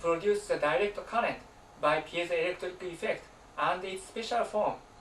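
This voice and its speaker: Over noticeable background noise, a man talks at a moderate pace in a Japanese accent. His pitch is high. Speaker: alternative science researcher and author. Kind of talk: presentation.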